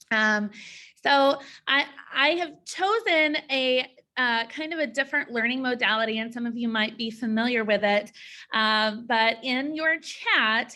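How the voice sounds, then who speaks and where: A woman's high pitch in a bright, sharp tone, with a slight Southern US accent, ordinary pitch variation and a fairly slow pace. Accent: slight Southern twang. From US South (Georgia, Tennessee). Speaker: school counselor and presenter. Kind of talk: training presentation. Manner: halting, many fillers.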